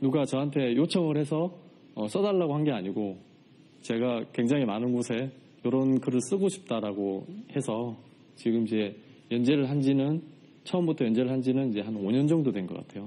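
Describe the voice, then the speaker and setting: A man with a Gyeongsang accent speaks at a medium pitch and moderate pace. His intonation is lively, broken by long, frequent pauses. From South Korea, Changwon, South Gyeongsang. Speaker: writer and podcaster, farm produce seller. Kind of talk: talk to studio audience. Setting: studio with audience. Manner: many filler words.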